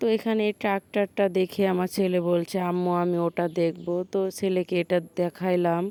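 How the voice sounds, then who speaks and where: A woman with a dark, mellow tone speaks at a medium pitch in a monotone, flat intonation, keeping her loudness very even. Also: dry, close sound with no echo. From Bangladesh, Tangail. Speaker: vlogger. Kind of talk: casual vlog narration.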